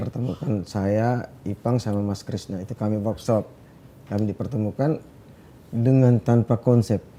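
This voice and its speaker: A man's fairly low pitch and dark, mellow tone, with fairly even intonation at a moderate pace. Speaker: singer. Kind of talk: interview answer.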